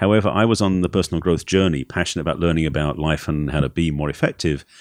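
Speaking with an Essex accent and ordinary pitch variation, the voice comes through in a very clean recording with a silent background and a dry, close sound with no echo. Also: man. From England, Essex. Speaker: relationship coach. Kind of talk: interview.

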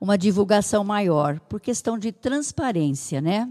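The recording is very clean, with a silent background. A woman at medium pitch talks at a fairly slow pace in a dark, mellow tone. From Brazil, São Paulo state (Santa Adélia). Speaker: municipal social assistance secretary. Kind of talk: interview.

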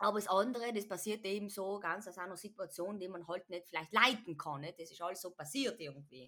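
A woman's bright, sharp voice, fairly quick with hardly any pauses and ordinary pitch variation. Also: medium pitch for a woman. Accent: South Tyrolean. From South Tyrol, Bolzano. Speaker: podcast guest. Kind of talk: casual chat.

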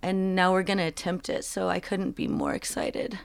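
With an ordinary speaking voice, a woman in an American accent uses lively intonation on a very clean recording with a silent background. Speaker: musician. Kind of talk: casual interview.

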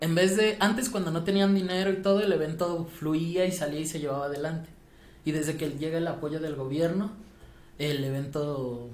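A fairly high-pitched man at a moderate pace, ordinary pitch variation, audible room echo and noticeable background noise. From Mexico City. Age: 20s. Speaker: podcast guest, former student. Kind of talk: casual chat.

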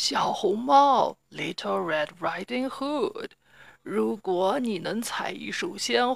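Someone is reading aloud. Their voice sounds natural.

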